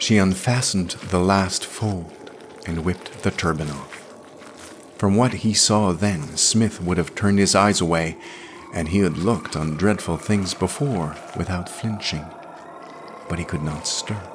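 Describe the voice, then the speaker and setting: Over noticeable background noise, a man with a very deep, low pitch talks at a fairly slow pace with ordinary pitch variation. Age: 50s. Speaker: podcast host reading fiction. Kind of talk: reading aloud.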